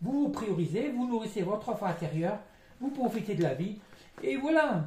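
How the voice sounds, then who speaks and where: A man talks at a fairly quick pace with lively intonation. Noticeable background noise can be heard. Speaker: psychic tarot reader. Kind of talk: tarot card reading. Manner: fast; halting.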